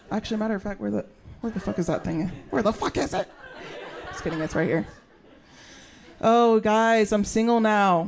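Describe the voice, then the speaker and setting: An animated woman with an American accent speaks at medium pitch and a moderate pace. Her pitch varies in an ordinary way, and her pauses are long and frequent. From US South, western North Carolina. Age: 30s. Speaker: stand-up comedian. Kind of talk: stand-up. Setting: stage with audience.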